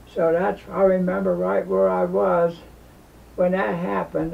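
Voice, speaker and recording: Over noticeable background noise, a man speaks fairly slowly at a high pitch with ordinary pitch variation. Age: 80s+. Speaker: war veteran. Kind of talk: interview answer. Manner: casual, rambling storytelling.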